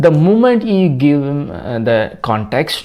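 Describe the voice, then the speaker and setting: Speaking at a fairly slow pace, a man talks with a Tamil Nadu accent. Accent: Tamil Indian English. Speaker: tech YouTuber. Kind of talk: tutorial. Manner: halting.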